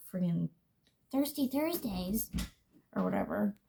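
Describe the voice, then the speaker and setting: A woman talks at a fairly quick pace. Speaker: beauty vlogger. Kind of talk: casual chat.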